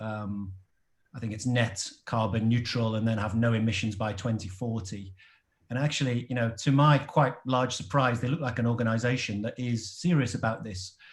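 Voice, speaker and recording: With an English accent, this somewhat breathy voice moves at a moderate pace and keeps a fairly even intonation. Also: man. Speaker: product and packaging designer. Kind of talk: audience question in online panel. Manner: hesitant, many fillers.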